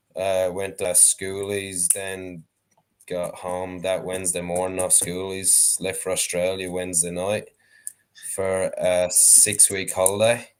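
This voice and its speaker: A man with an Irish accent, at a fairly slow pace. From Ireland, County Wexford. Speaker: sheep shearer and dog trainer. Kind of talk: casual chat.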